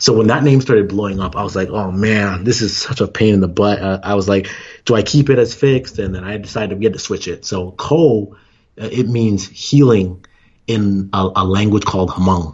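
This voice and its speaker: A man speaks at a moderate pace in a fairly low, somewhat breathy voice. His pitch varies in an ordinary way. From Canada. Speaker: former Olympic sprinter and entrepreneur. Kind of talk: casual interview.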